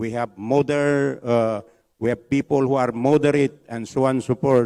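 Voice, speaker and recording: A man speaks at a moderate pace in a medium pitch, his dark, mellow tone caught in a dry, close recording with no echo. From Philippines, Marawi. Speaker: academic speaker, professor. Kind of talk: conference Q&A answer.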